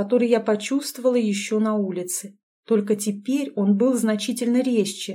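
The clip is plain reading aloud with a quiet background.

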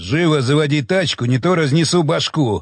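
A man's growling, put-on character voice, fairly high-pitched, at a moderate pace over a quiet background. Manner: growling, threatening.

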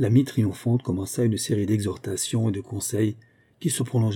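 Here we have plain reading aloud, its intonation held fairly even.

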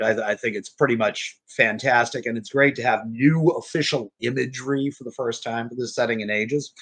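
A man with an American accent talks at a fairly quick pace with fairly even intonation and a medium pitch. He has an ordinary speaking voice. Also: big swings in loudness. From US South, New Orleans. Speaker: game designer and writer. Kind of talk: podcast interview.

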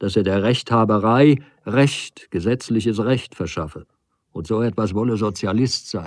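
An unforced reading voice over quiet surroundings

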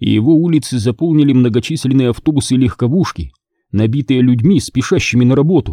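With ordinary pitch variation and a quiet background, someone is reading aloud in a natural voice.

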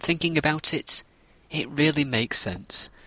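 With a northern English accent, a man talks at a moderate pace in a bright, sharp tone, the sound dry and close with no echo. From northern England. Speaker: podcast host. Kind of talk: scripted narration.

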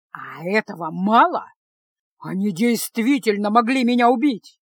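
Shouting and growling from a female-sounding voice, fairly high in pitch, at a moderate pace. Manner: angry, growling, restraining a shout.

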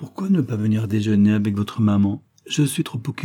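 In an unforced reading voice, the speaker uses ordinary pitch variation.

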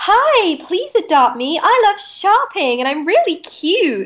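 In a put-on character voice, a female-sounding speaker goes extremely high and squeaky, with very wide pitch swings and a fairly slow pace. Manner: bubbly, cute.

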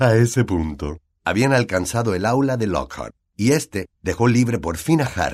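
This is plain reading aloud over a quiet background.

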